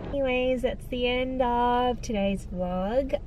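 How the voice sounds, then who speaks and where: The sound is dry, with no echo, and there is noticeable background noise. The pace is very slow. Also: woman. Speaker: vlogger. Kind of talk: casual vlog chat. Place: car. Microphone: phone near.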